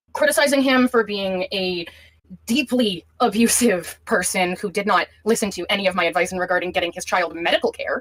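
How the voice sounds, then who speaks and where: A woman with a medium pitch and a normal speaking voice talks at a fairly quick pace with lively intonation. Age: 20s. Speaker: caller in a live-stream call. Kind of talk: recounting a personal dispute on a call.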